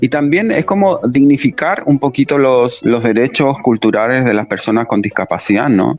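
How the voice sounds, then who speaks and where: Man at medium pitch, moderate pace, hardly any pauses, very even loudness and ordinary pitch variation. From Chile. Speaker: dancer and choreographer. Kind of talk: interview. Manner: hesitant, many fillers.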